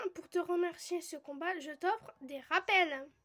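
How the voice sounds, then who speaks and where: A woman is speaking. Her pitch is extremely high. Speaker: gaming youtuber. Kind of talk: let's play commentary.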